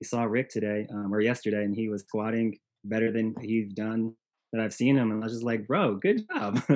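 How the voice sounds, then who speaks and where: Fairly quick in pace, a man talks at a medium pitch. His intonation is monotone and flat. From grew up moving around on military bases. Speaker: CrossFit coach. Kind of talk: casual interview.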